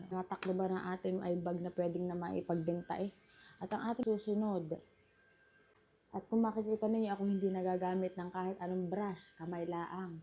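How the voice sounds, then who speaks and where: A woman talks at a fairly quick pace. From Batangas, Philippines. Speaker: vlogger. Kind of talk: makeup tutorial talk to camera. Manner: exaggerated regional accent, emphatic.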